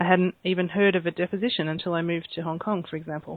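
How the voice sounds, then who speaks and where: Talking at a very fast pace, a woman with an Australian accent uses a fairly low pitch and monotone, flat intonation. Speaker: court reporter. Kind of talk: interview.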